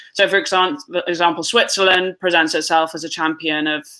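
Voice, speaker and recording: Speech comes at a fairly quick pace. It is delivered in a British accent. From United Kingdom. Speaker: tax justice advocate. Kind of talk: webinar panel discussion. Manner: halting.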